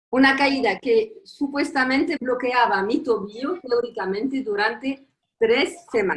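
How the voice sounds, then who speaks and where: A woman talks at a fairly slow pace with a non-native accent. Her high-pitched voice keeps a very even loudness. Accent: foreign accent in Spanish. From Tunisia. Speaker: professor. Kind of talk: conference talk. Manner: halting.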